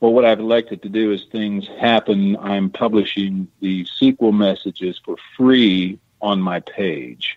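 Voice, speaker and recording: A man speaks in a plain, everyday voice at a fairly low pitch. He goes fairly slowly, with ordinary pitch variation. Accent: American. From Missouri. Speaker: treasure diver and author. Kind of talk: radio interview. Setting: radio show.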